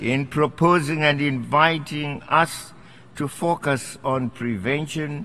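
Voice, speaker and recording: A man with a Zimbabwean accent talks at a very slow pace. His fairly high voice has ordinary pitch variation. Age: 80s+. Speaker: head of state. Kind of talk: formal political speech. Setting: assembly hall.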